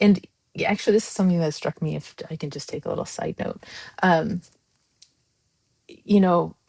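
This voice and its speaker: A woman with a fairly low pitch and an animated tone speaks at a fairly quick pace, somewhat breathy, with ordinary pitch variation, big swings in loudness and long, frequent pauses, in a dry, close sound with no echo. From Iran / Iranian American. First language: Farsi. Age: 40s. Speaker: democracy advocate. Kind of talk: podcast interview. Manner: animated, with many fillers.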